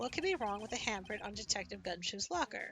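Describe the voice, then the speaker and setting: A woman at medium pitch rattles off a put-on character voice at a very fast pace with lively intonation, over clear background music. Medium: game stream. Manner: earnest, determined.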